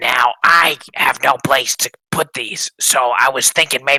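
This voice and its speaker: Whispering in a raspy, put-on character voice, a man goes at a fairly slow pace with a dry, close sound and no echo. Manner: conspiratorial, whispering.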